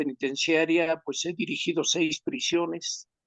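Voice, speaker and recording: A man with a plain, everyday voice speaks at a fairly high pitch and a fairly slow pace. His intonation is fairly even, and the sound is dry and close with no echo. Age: 60s. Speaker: criminal law expert, former prison director. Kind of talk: research interview.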